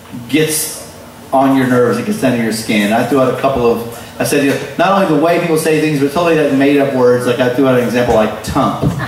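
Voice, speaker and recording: There is noticeable background noise. Through it, a man talks with a fairly high pitch. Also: very even loudness. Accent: American. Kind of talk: comedic monologue.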